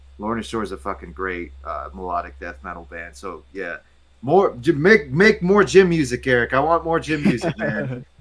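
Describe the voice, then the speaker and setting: An animated man with an American accent at a moderate pace, amid noticeable background noise. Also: big swings in loudness. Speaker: comics reviewer. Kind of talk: casual chat. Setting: live stream.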